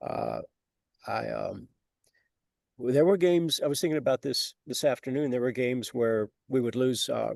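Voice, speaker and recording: Speaking at a moderate pace with long, frequent pauses, a man is heard in a dry, close sound with no echo. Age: 60s. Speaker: author. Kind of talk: interview. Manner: halting.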